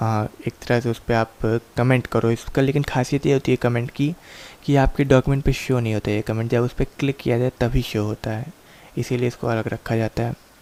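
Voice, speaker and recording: This man talks at a moderate pace and a medium pitch, in a monotone, flat delivery. The sound is dry and close, with no echo. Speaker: computer course teacher. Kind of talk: tutorial.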